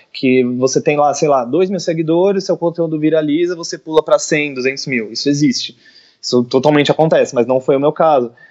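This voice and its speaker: In a plain, everyday voice, the speaker moves at a fairly quick pace with ordinary pitch variation. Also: man, fairly high pitch for a man. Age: 20s. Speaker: illustrator. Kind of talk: interview.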